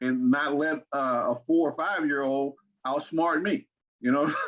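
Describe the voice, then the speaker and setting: Man with an American accent, fairly high in pitch, with ordinary pitch variation and a fairly slow pace. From Arkansas, US South. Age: 60s. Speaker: interview guest, father and grandfather. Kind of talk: interview. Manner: halting, many repeated words.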